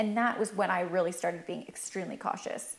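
A woman with a Canadian accent, an ordinary speaking voice, ordinary pitch variation and a moderate pace. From Canada. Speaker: cosmetics entrepreneur. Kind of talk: interview.

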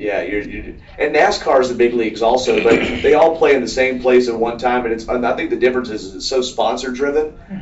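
Amid noticeable background noise, a man speaks at a fairly quick pace, medium in pitch with ordinary pitch variation. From Atlanta, Georgia (DeKalb County). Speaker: traffic reporter and racing radio broadcaster. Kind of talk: casual interview. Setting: at the race track media center.

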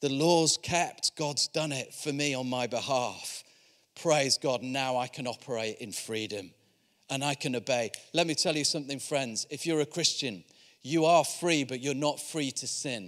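A man with a Yorkshire accent at a fairly high pitch, on a very clean recording with a silent background. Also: ordinary pitch variation, moderate pace. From Yorkshire, northern England. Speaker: visiting preacher from a charity. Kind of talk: sermon. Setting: church service with congregation.

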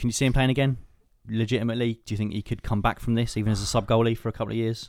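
Speaking at a very fast pace, a man holds a medium pitch. The recording is very clean, with a silent background. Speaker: podcast host. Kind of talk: casual chat.

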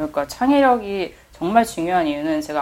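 Her pitch swinging very widely, a woman talks fairly slowly. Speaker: art critic. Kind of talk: casual chat.

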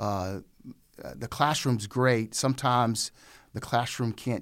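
A man with fairly even intonation in a very clean recording over a silent background. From Raleigh, North Carolina. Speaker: pastor and seminary program coordinator. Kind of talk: casual interview.

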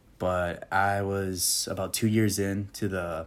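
Very deep and low, this man's voice carries. His intonation is monotone and flat. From Michigan (Okemos), born in Puerto Rico. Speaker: advertising account executive. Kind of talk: interview.

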